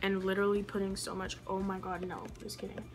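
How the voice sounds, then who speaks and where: With music in the background and audible room echo, a woman talks at a fairly quick pace and medium pitch. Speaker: beauty youtuber. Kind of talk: makeup tutorial. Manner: fast; animated.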